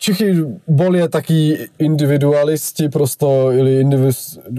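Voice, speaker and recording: Speaking with a Czech accent, a man has a dark, mellow tone and a fairly high pitch, delivering at a fairly slow pace with fairly even intonation. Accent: Czech accent in Russian. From Czech Republic. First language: Czech (speaking Russian). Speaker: podcast host's boyfriend. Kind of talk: casual interview. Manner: halting.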